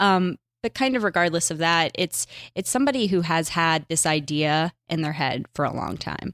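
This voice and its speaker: In a very clean recording with a silent background, a woman with an American accent speaks at a moderate pace in a plain, everyday voice, her intonation lively. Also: fairly low pitch for a woman, dry, close sound with no echo. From Pittsburgh, Pennsylvania, US. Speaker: TV producer. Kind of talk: casual interview.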